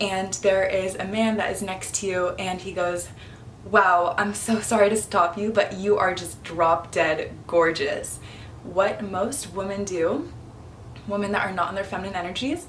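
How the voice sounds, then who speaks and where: A woman at medium pitch, fairly slow and with fairly even intonation, amid noticeable background noise and audible room echo. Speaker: feminine energy coach. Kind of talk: casual vlog talk to camera.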